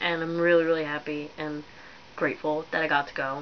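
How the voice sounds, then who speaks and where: Mumbling at a moderate pace, a woman speaks in a very deep, low pitch through noticeable background noise. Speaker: vlogger. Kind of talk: casual vlog. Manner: rambling, hesitant.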